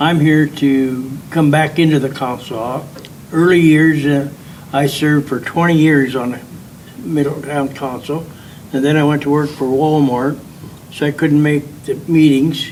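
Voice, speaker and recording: Speaking with a Midwestern American accent, a man delivers his lines in a fairly high pitch with monotone, flat intonation. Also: fairly slow pace. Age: 80s+. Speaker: political candidate. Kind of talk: candidate introduction. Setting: public forum with audience. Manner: halting.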